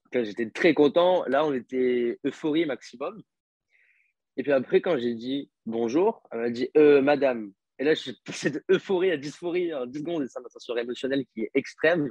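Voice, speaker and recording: Recorded with a dry, close sound and no echo, a man of fairly high pitch speaks at a moderate pace, with ordinary pitch variation and big swings in loudness. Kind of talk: interview testimony. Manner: hesitant, many fillers.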